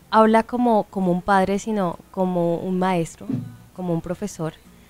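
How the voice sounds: A woman speaks at a moderate pace in a clear, smooth tone with fairly even intonation.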